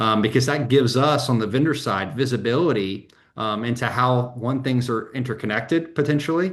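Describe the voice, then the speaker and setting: With an American accent, a man at medium pitch talks at a fairly quick clip, hardly pausing, while room echo is audible. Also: ordinary pitch variation. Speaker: software vendor representative. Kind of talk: webinar panel discussion. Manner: many fillers (um, you know).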